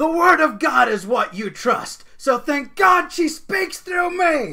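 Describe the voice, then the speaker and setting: A put-on character voice shouts at a high pitch, raised and projected, moving at a fairly slow pace. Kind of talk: preachy, commanding. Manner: shouting to a crowd.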